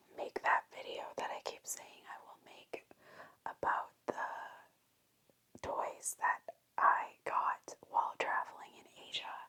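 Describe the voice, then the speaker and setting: Whispering at a very slow pace. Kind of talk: whispered ASMR toy haul, casual talk to camera. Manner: whispered, soft.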